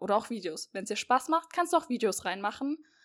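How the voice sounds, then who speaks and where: In a very clean recording with a silent background, a woman speaks in an animated tone at a high pitch. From Hesse, near Marburg. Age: 20s. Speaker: podcast host, university student. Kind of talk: casual chat.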